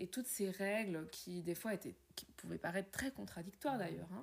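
Somewhat breathy, a woman's voice has a medium pitch and ordinary pitch variation. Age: 50s. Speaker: podcaster and wellbeing coach. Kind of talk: personal monologue.

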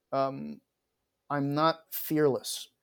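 Recorded very cleanly against a silent background, a man speaks with a fairly high pitch. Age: 40s. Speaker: aerospace engineering professor. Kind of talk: interview.

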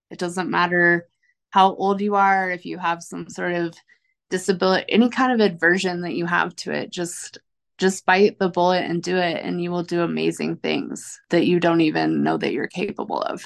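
Against a quiet background, a woman with a normal speaking voice talks at a moderate pace, her fairly low pitch held to fairly even intonation. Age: 30s. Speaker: coffee roaster and business owner. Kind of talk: interview.

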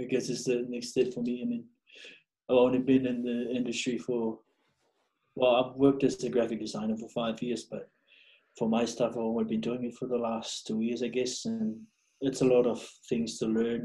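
The man's tone is dark and mellow. He speaks in a flat monotone with long, frequent pauses. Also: medium pitch for a man, moderate pace. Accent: Samoan. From Samoa. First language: Samoan. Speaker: podcast guest, graphic designer. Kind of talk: casual interview. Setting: video call. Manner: casual, profane.

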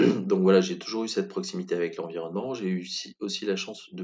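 A man with a very deep, low voice speaks in a flat monotone at a fairly quick pace. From France, Corrèze (Brive-la-Gaillarde). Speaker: communication agency founder. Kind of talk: interview.

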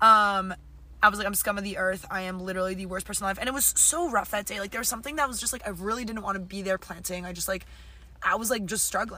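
Speaking at a very fast pace, a woman with a medium pitch has a bright, sharp tone. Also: ordinary pitch variation. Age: young. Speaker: podcast co-host, tree planter. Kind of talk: casual chat.

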